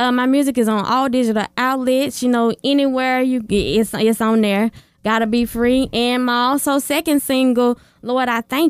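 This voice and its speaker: In a Southern US accent, a woman speaks at a high pitch with fairly even intonation on a very clean recording with a silent background. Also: moderate pace. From Arkansas. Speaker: gospel singer. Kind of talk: interview answers.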